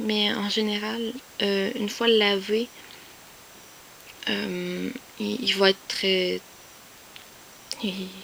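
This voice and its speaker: In a Quebec accent, a woman speaks at a very slow pace with long, frequent pauses against noticeable background noise. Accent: Québécois French. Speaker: YouTuber, collector. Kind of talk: casual vlog show-and-tell. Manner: hesitant, many fillers.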